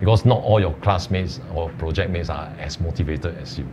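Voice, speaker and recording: Through noticeable background noise, a man with a very deep, low pitch speaks at a fairly quick pace. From Singapore. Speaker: tax professional, alumnus; panelist. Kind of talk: webinar panel talk. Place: studio. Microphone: lapel.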